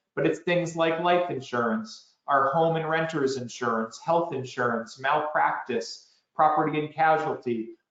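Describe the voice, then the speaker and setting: Fairly high in pitch, the man's voice shows ordinary pitch variation. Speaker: financial advisor. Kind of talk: presentation. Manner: fast.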